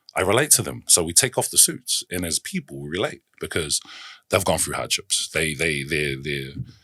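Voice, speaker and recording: A man's bright, sharp voice with lively intonation and vocal fry, dry and close with no echo, on a very clean recording against a silent background. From New Zealand, South Auckland. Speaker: basketball club founder. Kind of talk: casual chat. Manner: animated.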